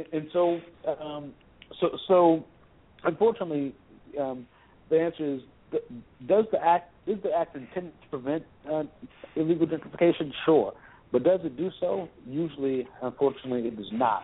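A man speaks at a moderate pace with long, frequent pauses. His pitch is fairly high, with ordinary variation. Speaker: housing rights advocate. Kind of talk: radio interview.

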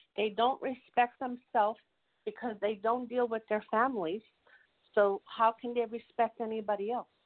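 Monotone, flat intonation marks this woman's fairly high-pitched voice at a moderate pace. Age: 40s. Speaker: talk show panelist. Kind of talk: casual discussion.

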